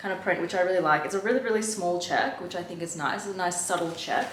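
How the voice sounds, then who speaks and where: A woman speaks at a very fast pace. Room echo is audible, along with noticeable background noise. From Australia. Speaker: fashion vlogger. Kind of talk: try-on haul vlog. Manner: casual, filler-heavy.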